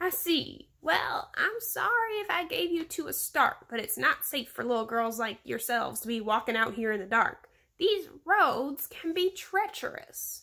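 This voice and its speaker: A woman speaks in a put-on character voice, pitched high with very wide swings. She keeps a moderate pace and hardly pauses at all. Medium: read story.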